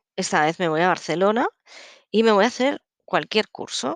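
A woman speaks with ordinary pitch variation. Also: dry, close sound with no echo, quiet background. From Catalonia, Spain. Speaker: psychologist and therapist podcast host. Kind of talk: casual solo podcast talk. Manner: halting.

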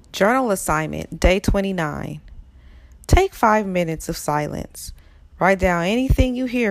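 Using an unremarkable speaking voice, a woman of medium pitch speaks at a moderate pace with lively intonation. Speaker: prayer guide leader. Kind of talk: fervent prayer, then spoken coaching instructions. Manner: earnest, pleading, reverent; encouraging, instructive.

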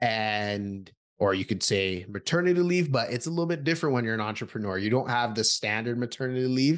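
Against a quiet background, a normal speaking voice goes at a fairly quick pace with lively intonation. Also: man. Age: 30s. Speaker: podcast co-host. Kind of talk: casual chat.

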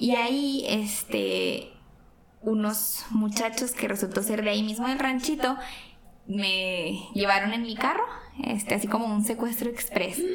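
A woman with a fairly high pitch speaks fairly slowly. Background noise is noticeable, and the room echoes audibly. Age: 20s. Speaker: teacher and guest. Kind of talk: casual chat. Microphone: some echo.

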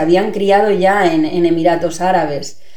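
The woman talks at a moderate pace, her pitch varying in an ordinary way. Noticeable background noise is audible too. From Spain, Mallorca. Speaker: actress and theatre teacher. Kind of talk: casual chat.

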